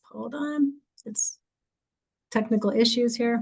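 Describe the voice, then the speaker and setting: A woman's voice, fairly high-pitched. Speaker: recruiter. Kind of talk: presentation. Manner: fast; many fillers (um, you know).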